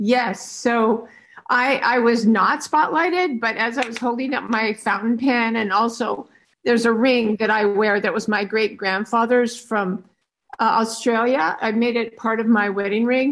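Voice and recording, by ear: At a fairly slow pace, a woman talks with a fairly bright tone, fairly high pitch and ordinary pitch variation.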